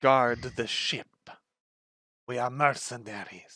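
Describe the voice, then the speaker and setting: A man puts on a character voice at a fairly slow pace. His medium pitch stays in a monotone, flat intonation. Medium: actual play. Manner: sullen, curt.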